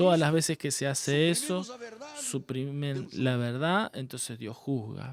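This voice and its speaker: Using ordinary pitch variation, a man with a Portuguese accent speaks at a fairly slow pace in a fairly high voice. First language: Portuguese (speaking Spanish). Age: 60s. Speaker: pastor. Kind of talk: sermon. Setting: church.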